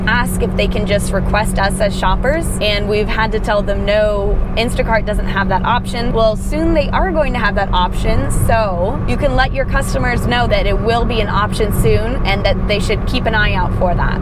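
Moderate pace with hardly any pauses, loud background noise, and a dry sound with no echo. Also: woman. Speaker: gig shopper vlogger. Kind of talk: casual vlog chat. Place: car. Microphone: lapel.

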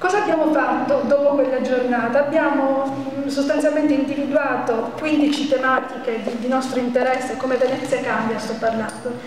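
A woman talks at a high pitch and a moderate pace with fairly even intonation. Light background noise and audible room echo are present. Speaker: citizen movement organizer. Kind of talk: public speech. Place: hall. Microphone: handheld.

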